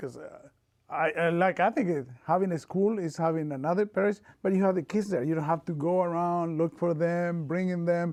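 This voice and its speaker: This man speaks with an Argentine accent at a moderate pace. His fairly high voice has a dark, mellow tone. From Argentina, small town. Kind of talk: oral history interview. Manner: halting, repeats words.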